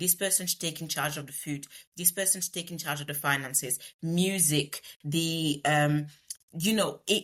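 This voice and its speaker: In a very clean recording with a silent background, a woman with a Congolese accent speaks at a moderate pace in a very deep, low voice with fairly even intonation. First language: Lingala. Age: 30s. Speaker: project manager. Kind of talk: podcast interview. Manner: eloquent.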